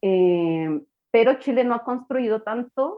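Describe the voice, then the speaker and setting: The woman talks in a fairly high voice whose pitch varies in an ordinary way. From Colombia. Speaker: historian. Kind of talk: casual chat.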